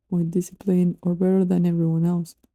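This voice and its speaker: A woman with a non-native accent speaks very fast at a fairly low pitch. Her intonation is monotone and flat. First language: not English. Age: 20s. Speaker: YouTuber. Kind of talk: personal vlog monologue. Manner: halting.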